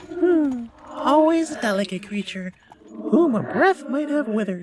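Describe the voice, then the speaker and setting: A man uses a put-on character voice at extremely high pitch. His pace is moderate. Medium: read story. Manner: quiet, measured.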